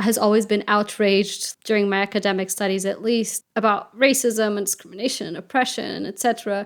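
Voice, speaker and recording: A woman with a Portuguese accent and a fairly high pitch, at a moderate pace with fairly even intonation, on a very clean recording with a silent background. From Portugal. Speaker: interviewee sharing personal experience. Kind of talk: personal testimony.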